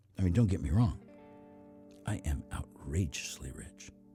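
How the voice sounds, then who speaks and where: A man at a moderate pace with very wide pitch swings, music playing in the background. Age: 70s. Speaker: podcast host, voice over actor. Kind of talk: podcast monologue.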